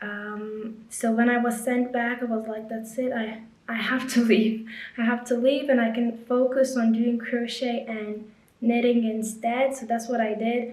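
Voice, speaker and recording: With audible room echo and noticeable background noise, a woman speaks fairly slowly at a fairly high pitch in a monotone, flat intonation. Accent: Lithuanian. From Lithuania. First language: Lithuanian. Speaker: crochet and knitting content creator. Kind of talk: casual vlog narration.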